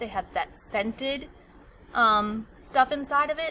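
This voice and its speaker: A voice with ordinary pitch variation speaks over noticeable background noise. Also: woman. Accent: American. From United States. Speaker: teacher. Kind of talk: tutorial. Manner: casual.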